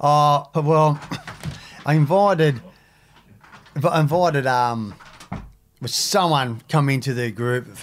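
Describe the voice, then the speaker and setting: The speech comes at a very slow pace with long, frequent pauses and ordinary pitch variation. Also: man, fairly high pitch for a man. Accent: strong Australian. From Sydney, Australia (Maroubra). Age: 50s. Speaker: former surfer and ex-prisoner, youth mentor. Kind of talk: casual interview chat. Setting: studio.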